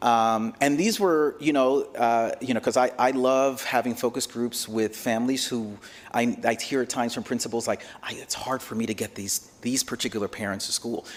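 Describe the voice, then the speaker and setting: A man with a Spanish accent talks at a moderate pace in a medium pitch, keeping his intonation fairly even. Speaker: education researcher presenting to school board. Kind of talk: board meeting discussion. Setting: school board work session.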